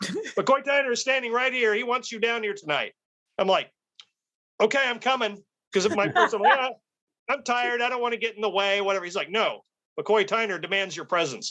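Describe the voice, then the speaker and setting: With an American accent, a man talks at a fairly quick pace in an extremely high pitch, his raised, projected voice bright and sharp in tone, with ordinary pitch variation and long, frequent pauses. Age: 60s. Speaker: street photographer. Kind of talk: casual interview chat.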